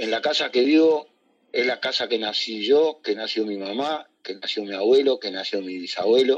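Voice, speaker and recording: A man with a Uruguayan accent, medium pitch and moderate pace against a quiet background. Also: ordinary pitch variation. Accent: Uruguayan Rioplatense Spanish. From Uruguay, Montevideo (Barrio Sur). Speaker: candombe drummer. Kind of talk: interview. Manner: halting.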